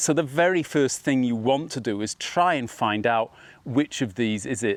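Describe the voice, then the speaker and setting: With a plain, everyday voice, a man talks at a fairly slow pace and medium pitch, his intonation lively, in a very clean recording with a silent background. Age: 60s. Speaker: golf instructor. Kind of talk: tutorial.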